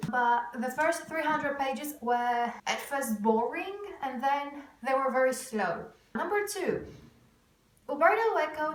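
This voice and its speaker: A woman with a Greek accent speaks high and with lively intonation at a fairly slow pace, her voice carrying audible room echo. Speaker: booktuber vlogger. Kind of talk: casual vlog to camera.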